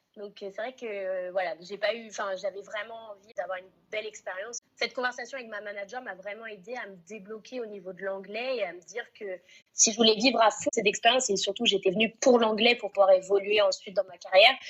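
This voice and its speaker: A woman with an ordinary speaking voice talks at a fairly quick pace in a fairly high pitch, her intonation fairly even and her loudness swinging widely. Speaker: restaurant manager. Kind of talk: interview.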